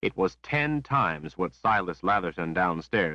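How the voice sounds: Just a natural reading voice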